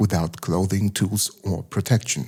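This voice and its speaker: A man with a German accent talks at a fairly low pitch with ordinary pitch variation. His voice is somewhat breathy, with a dark, mellow tone. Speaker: science documentary narrator. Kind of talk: documentary narration.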